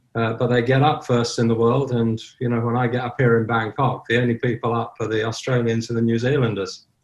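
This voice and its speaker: Somewhat breathy and monotone, the voice moves at a fairly quick pace with hardly any pauses. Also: man, medium pitch for a man. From southern Ireland. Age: 70s. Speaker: online sober community founder. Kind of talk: podcast interview.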